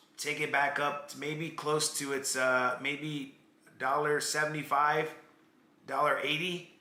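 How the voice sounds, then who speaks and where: A man speaks in a flat monotone at a fairly high pitch. Audible room echo and noticeable background noise come through. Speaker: crypto trading streamer. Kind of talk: live stream market analysis chat. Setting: live stream. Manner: casual, conversational.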